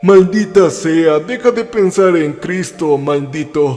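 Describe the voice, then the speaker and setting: A man's resonant, put-on character voice, high in pitch and fairly slow in pace, with faint music in the background. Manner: menacing, forceful.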